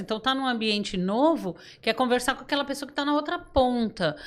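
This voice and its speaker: A woman with a high voice and lively intonation is heard in a very clean recording with a silent background. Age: 60s. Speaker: podcast guest, trainer. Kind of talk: casual chat. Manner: halting.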